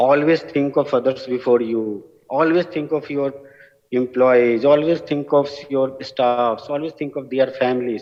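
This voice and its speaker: A man speaks with a strong Bihari accent at a medium pitch. His intonation is fairly even and his pace fairly slow. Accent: heavy Bihari. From India, Bihar (village). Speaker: award recipient, business school alumnus working with farmers. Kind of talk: award acceptance speech.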